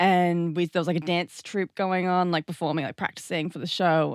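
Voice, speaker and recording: Speaking at a fairly quick pace with an Australian accent, a woman has a very deep, low pitch and ordinary pitch variation. The sound is dry and close, with no echo. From Australia, New South Wales coast. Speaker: dancer and burlesque artist. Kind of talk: casual chat.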